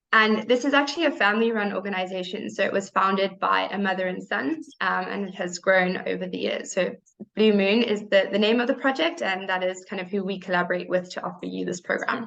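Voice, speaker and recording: With a South African accent, the speaker talks at a fairly quick pace with hardly any pauses and ordinary pitch variation. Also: woman, medium pitch for a woman. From South Africa, Cape Town. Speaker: program staff presenter. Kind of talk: presentation. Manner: hesitant, many fillers.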